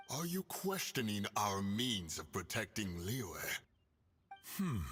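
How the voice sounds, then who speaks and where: Putting on a character voice, a man speaks at a fairly slow pace with a fairly low pitch. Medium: video game. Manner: grave, formal.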